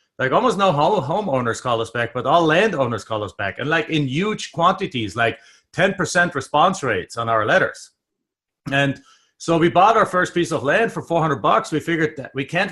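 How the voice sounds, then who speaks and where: On a very clean recording with a silent background, a man with a German accent talks at a fairly quick pace, his fairly high voice bright and sharp with lively intonation. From Germany. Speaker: real estate investor and trainer. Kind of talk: interview.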